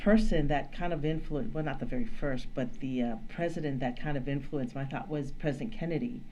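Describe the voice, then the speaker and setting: With hardly any pauses, the words come at a fairly quick pace. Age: 60s. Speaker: podcast guest, Democrat supporter. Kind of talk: casual political discussion.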